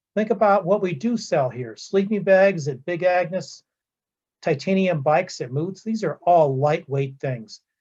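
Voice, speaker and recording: A man speaks in a somewhat breathy voice, his intonation lively and his pace moderate. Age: 60s. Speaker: business seminar presenter. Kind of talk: lecture.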